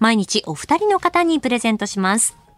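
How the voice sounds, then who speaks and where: A woman's very fast speech with very wide pitch swings, in a dry, close sound with no echo. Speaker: radio announcer and co-host. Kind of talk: live radio announcements.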